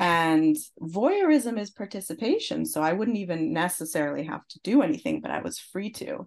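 Against a quiet background, a woman speaks at a moderate pace and a medium pitch, with very wide pitch swings, big swings in loudness and hardly any pauses. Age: 40s. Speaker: musician. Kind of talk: casual chat.

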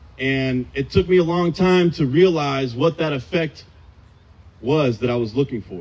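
A man with an American accent has an ordinary speaking voice at a fairly high pitch, with ordinary pitch variation. He talks at a moderate pace. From Southern California. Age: 30s. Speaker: AA speaker. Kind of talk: recovery testimony. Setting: outdoors in a park, audience.

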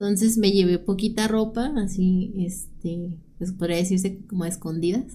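Somewhat breathy and dark, mellow in tone, a woman at medium pitch speaks at a moderate pace with fairly even intonation. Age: 30s. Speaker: domestic violence survivor sharing her story. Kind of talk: personal testimony in interview.

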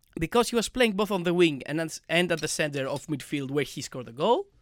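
With a non-native accent, a man speaks at a fairly quick pace in a fairly high pitch with lively intonation, the sound dry and close with no echo and the recording very clean against a silent background. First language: not English. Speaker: football podcast co-host. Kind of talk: casual chat.

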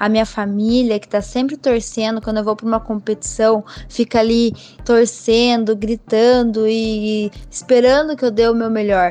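Here a woman uses a normal speaking voice, pitched fairly high. Her pace is fairly slow. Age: 20s. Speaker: professional cyclist. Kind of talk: interview.

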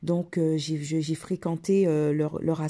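A woman's very deep, low voice, dark and mellow, in flat monotone at a very slow pace, over a very clean recording with a silent background. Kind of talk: personal testimony. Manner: hesitant, many fillers and repetitions.

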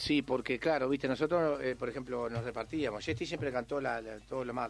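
A man with an unremarkable speaking voice talks at medium pitch and a moderate pace. His intonation is fairly even over a quiet background. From Uruguay, Montevideo (Cerro). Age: 50s. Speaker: tropical music singer. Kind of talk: radio interview.

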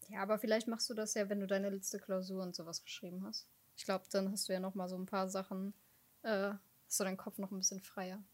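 A woman speaks at a very fast pace with monotone, flat intonation. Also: medium pitch for a woman. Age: 20s. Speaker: podcast co-host. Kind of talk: casual chat.

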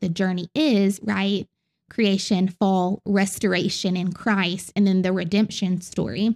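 A woman speaks at a fairly slow pace in a medium voice with ordinary pitch variation, recorded very cleanly against a silent background with a dry, close sound and no echo. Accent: Southern US. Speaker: Bible teacher, podcast host. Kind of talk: teaching lecture on the Bible. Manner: earnest, instructive.

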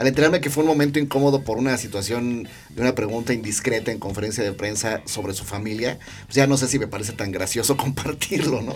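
Against noticeable background noise, a man talks very fast at a medium pitch with ordinary pitch variation. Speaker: podcast host and design teacher. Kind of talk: casual chat. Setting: studio.

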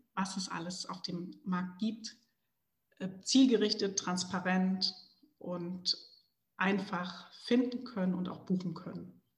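Her pace very slow and marked by long, frequent pauses, a woman speaks in a somewhat breathy voice of medium pitch with fairly even intonation. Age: 40s. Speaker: entrepreneur. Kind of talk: interview.

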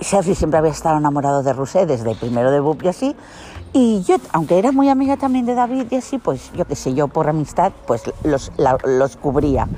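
Noticeable background noise runs under a woman's voice. She talks at a moderate pace with very wide pitch swings. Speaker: podcaster. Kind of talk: casual personal storytelling monologue.

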